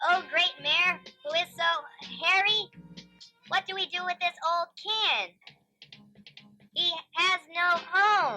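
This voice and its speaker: A cartoonish character voice at an extremely high pitch, fairly slow, with long, frequent pauses and music in the background. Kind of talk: live puppet show. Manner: brash, mocking.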